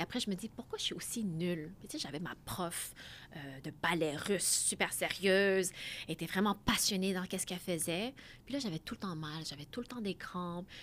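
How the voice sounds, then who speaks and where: This voice moves at a fairly quick pace with ordinary pitch variation. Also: woman, medium pitch for a woman. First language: Khmer (Cambodian) (speaking French). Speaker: mathematician and AI specialist. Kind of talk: interview.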